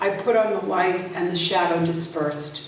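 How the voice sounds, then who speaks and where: A woman speaks with an American accent and lively intonation. Noticeable background noise runs behind her. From Worcester, Massachusetts. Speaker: poet. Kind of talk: poetry reading.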